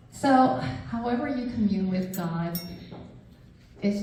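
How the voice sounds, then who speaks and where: Moderate-paced speech from a woman amid audible room echo and noticeable background noise. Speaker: author and devotional speaker. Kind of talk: devotional talk.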